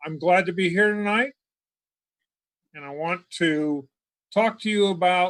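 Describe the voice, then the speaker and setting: A high-pitched man at a fairly slow pace with ordinary pitch variation. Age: 70s. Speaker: technology presenter. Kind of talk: lecture. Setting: video call. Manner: hesitant with fillers.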